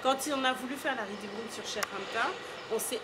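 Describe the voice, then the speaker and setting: A woman with a high pitch speaks at a fairly quick pace in a strong Parisian accent. Noticeable background noise runs beneath her. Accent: thick Parisian French. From Senegal. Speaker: art curator. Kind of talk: interview.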